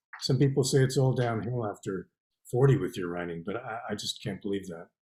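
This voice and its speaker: Speaking at a fairly quick pace in a Canadian accent, a man has a dark, mellow, somewhat breathy voice of medium pitch, with ordinary pitch variation and big swings in loudness. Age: 60s. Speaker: poet and novelist. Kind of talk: interview.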